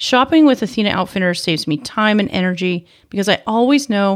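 In a normal speaking voice, a woman talks fairly quickly at a medium pitch with lively intonation, on a very clean recording with a silent background. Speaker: podcast host. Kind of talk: ad read and outro. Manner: upbeat.

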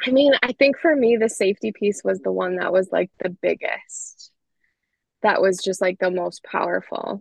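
The recording sounds dry and close, with no echo. A woman talks at a moderate pace. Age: 30s. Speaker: high school teacher. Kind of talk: casual interview.

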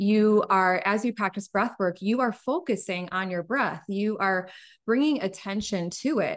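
A woman talks at a fairly slow pace in a normal speaking voice against a quiet background. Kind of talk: casual interview chat.

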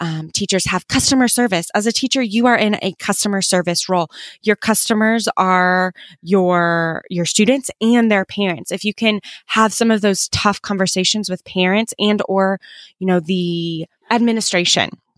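A woman speaks at a moderate pace with an American accent, her pitch medium and its variation ordinary. The sound is dry and close with no echo, on a very clean recording with a silent background. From US Midwest, Kansas City. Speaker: former teacher, freelancing course creator. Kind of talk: interview.

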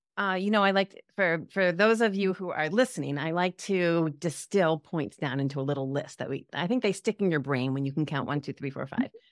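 Using lively intonation, a woman with an unremarkable speaking voice and a fairly low pitch sounds dry and close with no echo, on a very clean recording with a silent background. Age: 50s. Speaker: psychologist and health coach. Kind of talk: casual interview chat.

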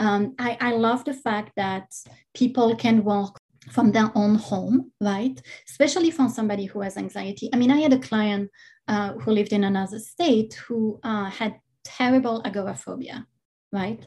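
Dark and mellow in tone, a woman's voice has a fairly high pitch and a somewhat breathy quality. She speaks with a non-native accent and ordinary pitch variation. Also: moderate pace. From outside the US, immigrated. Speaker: hypnotist and yoga teacher. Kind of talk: interview conversation.

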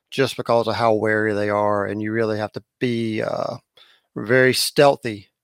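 A man with a coastal North Carolina accent at a moderate pace, dry and close with no echo, on a very clean recording with a silent background. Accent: coastal North Carolina Southern. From southern North Carolina. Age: 50s. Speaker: fishing guide. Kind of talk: interview.

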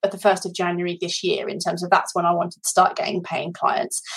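A woman is speaking. She has a British accent. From Britain. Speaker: life coach. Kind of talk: testimony. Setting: video call.

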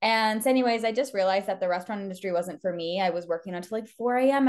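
A woman with a Canadian accent talks at a very fast pace, her fairly high pitch moving with ordinary variation. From eastern Canada. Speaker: business mentor. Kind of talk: interview. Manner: animated.

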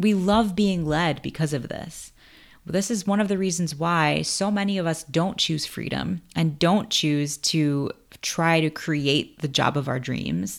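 A woman with an American accent speaks at a fairly slow pace in an unremarkable speaking voice, her pitch fairly low with ordinary variation, on a very clean recording with a silent background. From US, Queens, New York. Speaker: podcast host, screenwriter. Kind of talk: personal story monologue.

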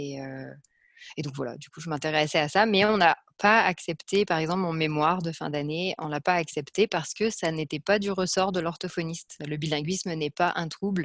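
A woman with a very deep, low voice speaks at a moderate pace with big swings in loudness. The recording is very clean with a silent background, and the sound is dry and close with no echo. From France. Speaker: speech-language pathologist. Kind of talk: interview answers.

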